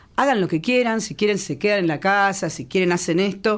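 A woman's ordinary speaking voice, medium in pitch, with lively intonation and a fairly quick pace. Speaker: comedian. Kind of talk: comedic casual chat.

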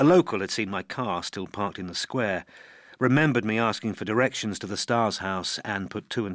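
Ordinary pitch variation in plain reading aloud

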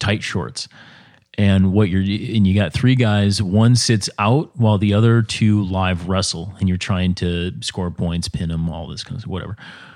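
In an American accent, a man with an ordinary speaking voice talks at a fairly slow pace, fairly low in pitch with ordinary pitch variation. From Minnesota. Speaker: cycling and endurance coach. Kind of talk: casual chat.

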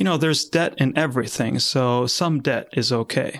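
This voice carries a Spanish accent. It moves at a moderate pace with fairly even intonation. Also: man. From Argentina. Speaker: software company founder. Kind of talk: interview. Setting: video call.

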